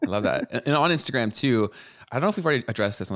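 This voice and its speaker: A man with a Canadian accent on a very clean recording with a silent background. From Canada. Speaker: podcast co-host. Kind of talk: casual chat.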